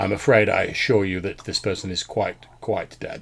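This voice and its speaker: A put-on character voice at a moderate pace. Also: man, fairly low pitch for a man. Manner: formal, prim.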